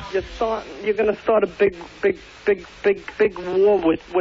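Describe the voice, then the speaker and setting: A man talks at a moderate pace while noticeable background noise fills the recording. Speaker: caller. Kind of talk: call-in radio argument. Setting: phone call. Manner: halting, repeating words.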